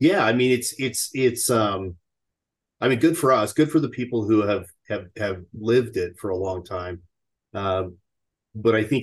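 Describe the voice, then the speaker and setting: A man speaks at a moderate pace in a fairly low, somewhat breathy voice with ordinary pitch variation against a quiet background. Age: 50s. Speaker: chief investment officer. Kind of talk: casual interview chat.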